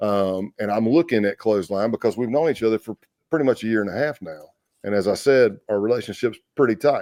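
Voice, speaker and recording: On a very clean recording with a silent background and a dry, close sound with no echo, a man with a South Carolina accent speaks very fast at medium pitch, his dark, mellow tone showing ordinary pitch variation. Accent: Southern US, South Carolina. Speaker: retired FBI agent. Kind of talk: interview storytelling. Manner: loud.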